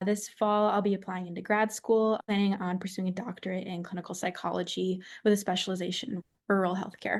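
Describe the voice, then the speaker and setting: With an American accent, a woman speaks at medium pitch in a flat monotone, moving at a fairly quick pace with hardly any pauses. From central Wisconsin. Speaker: university student, youth dairy association leader. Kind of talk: podcast interview.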